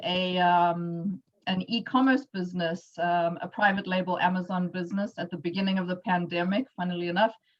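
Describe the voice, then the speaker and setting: A woman with a South African accent speaks somewhat breathily at a medium pitch and a moderate pace, with fairly even intonation. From South Africa, Johannesburg. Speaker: entrepreneur, workshop speaker. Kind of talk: presentation.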